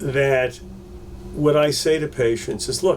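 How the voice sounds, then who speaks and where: Noticeable background noise runs behind a man speaking with ordinary pitch variation. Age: 60s. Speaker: pain management doctor. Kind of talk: interview. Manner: halting, with fillers and repeats.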